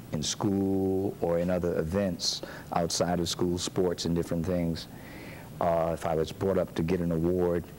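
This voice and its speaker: Over noticeable background noise, a man speaks with a very deep, low pitch in a monotone, flat delivery at very even loudness. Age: 60s. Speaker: pastor. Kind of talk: interview. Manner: halting.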